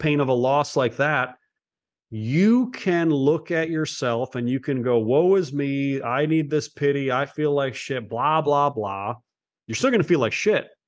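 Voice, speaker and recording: Against a quiet background, a man with an American accent speaks fairly slowly in a plain, everyday voice, fairly high in pitch with ordinary variation. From Cleveland, Ohio (east side). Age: 30s. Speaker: former police officer turned entrepreneur. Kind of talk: casual interview chat.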